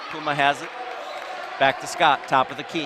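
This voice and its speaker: A man speaks over noticeable background noise. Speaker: basketball play-by-play commentator. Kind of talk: live commentary. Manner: loud, yelling at times. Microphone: audio crackling when yelling.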